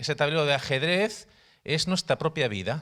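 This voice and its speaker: Lively intonation and a bright, sharp tone mark this man's fairly high voice in a very clean recording with a silent background. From Spain, Barcelona area. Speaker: missionary, workshop teacher. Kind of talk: workshop teaching. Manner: halting, repeats words.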